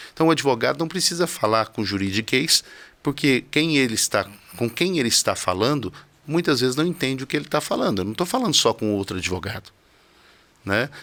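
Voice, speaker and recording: Talking at a fairly quick pace, a man uses a bright, sharp tone with very wide pitch swings. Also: medium pitch for a man. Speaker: criminal defense lawyer. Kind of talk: studio interview. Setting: TV studio. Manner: simple and direct.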